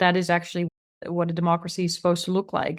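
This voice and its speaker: A woman speaks with a Dutch accent. The recording is very clean, with a silent background. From Netherlands. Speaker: author and tech policy expert. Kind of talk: interview.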